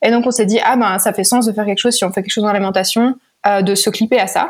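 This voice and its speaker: In a monotone, flat intonation, a woman talks at a fairly high pitch. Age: 20s. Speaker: startup founder and CEO. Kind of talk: interview.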